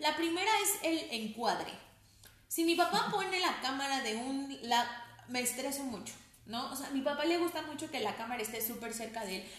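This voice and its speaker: Over audible room echo, a woman with a high pitch speaks at a moderate pace with lively intonation. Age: 30s. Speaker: pastor's daughter and psychologist. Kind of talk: casual chat.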